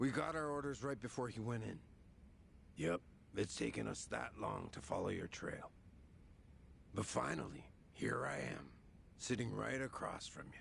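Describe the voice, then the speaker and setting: A man puts on a raspy character voice at a moderate pace, with long, frequent pauses and clear background noise. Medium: video game. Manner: casual, slangy, smug.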